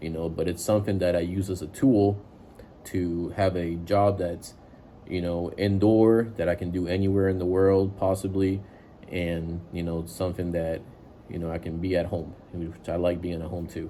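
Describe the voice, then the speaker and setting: Speaking at a moderate pace with a non-native accent, the voice has a dark, mellow tone and monotone, flat intonation, with audible room echo. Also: man, very deep, low pitch for a man. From immigrant to the US at age seven from a developing country. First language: not English. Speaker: IT worker giving career advice. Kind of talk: casual advice monologue. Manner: casual, many filler words.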